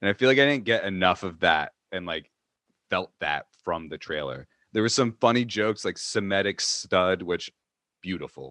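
Vocal fry runs through a bright, sharp tone delivered at a moderate pace with lively intonation and a dry, close sound with no echo. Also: man, very deep, low pitch for a man. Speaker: co-host. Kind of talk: casual comedic chat.

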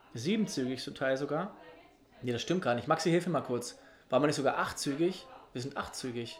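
A man's fairly high-pitched voice at a fairly quick pace, with ordinary pitch variation, long, frequent pauses and noticeable background noise. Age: 30s. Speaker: secondary school teacher. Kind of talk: casual chat.

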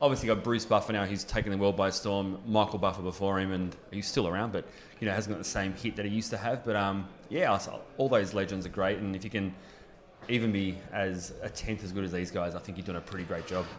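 With an Australian accent, the speaker talks at a very fast pace with fairly even intonation. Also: man, fairly low pitch for a man. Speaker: ring announcer. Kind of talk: casual interview. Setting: boxing venue.

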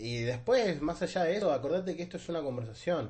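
Somewhat breathy, a man with a Rioplatense accent talks at a fairly quick pace. His pitch swings very widely. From Argentina, Buenos Aires south zone. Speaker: podcast host. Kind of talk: casual chat. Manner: animated. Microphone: new microphone.

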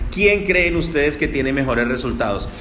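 A man speaks with music in the background and audible room echo. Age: 40s. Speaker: network marketing entrepreneur and podcaster. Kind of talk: solo podcast monologue. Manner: hesitant with many fillers and repetitions.

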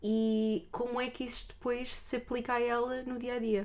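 A woman talks with a European Portuguese accent. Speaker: podcast co-host. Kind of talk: casual chat.

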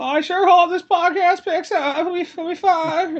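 This is a put-on character voice at an extremely high pitch. The pace is moderate. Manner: timid, stammering, fearful of being bullied.

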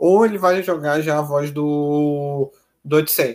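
A man's voice with a fairly high pitch. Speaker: music review podcaster. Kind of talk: casual music analysis commentary. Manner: halting, repeats words; animated.

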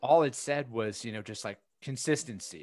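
A man with an ordinary speaking voice talks at a fairly quick pace, his medium pitch showing ordinary variation over a quiet background. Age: 30s. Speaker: freight sales coach. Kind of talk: casual chat.

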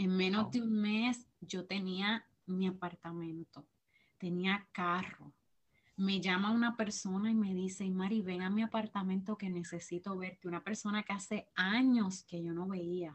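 Somewhat breathy and at a medium pitch, a woman speaks at a fairly slow pace with fairly even intonation. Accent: Puerto Rican. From Puerto Rico. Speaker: teacher and church minister. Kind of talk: testimony interview.

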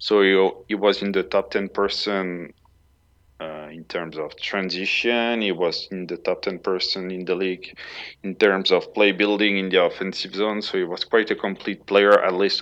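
The background is quiet. A man with a French accent talks at a fairly low pitch with fairly even intonation. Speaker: data analyst, hockey stats site creator. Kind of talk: casual chat.

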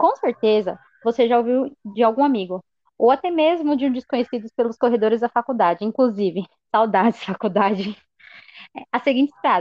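A woman's fairly high-pitched, normal speaking voice at a moderate pace, with very even loudness and ordinary pitch variation. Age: 20s. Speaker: university student. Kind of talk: scripted educational podcast.

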